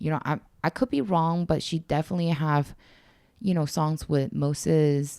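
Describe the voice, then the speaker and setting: A woman's very deep, low voice with a dark, mellow tone holds very even loudness and ordinary pitch variation on a very clean recording with a silent background. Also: moderate pace. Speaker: music commentator. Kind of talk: casual chat. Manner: halting.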